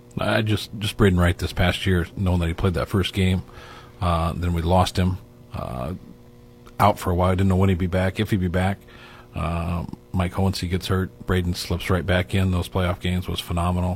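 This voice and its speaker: A man with a very deep, low voice speaks at a moderate pace, somewhat breathy and with fairly even intonation. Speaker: university sports media relations staff. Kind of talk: casual chat.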